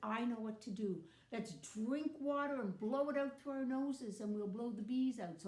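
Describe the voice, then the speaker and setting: A woman uses a put-on character voice at a fairly high pitch. She keeps to a moderate pace. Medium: read story.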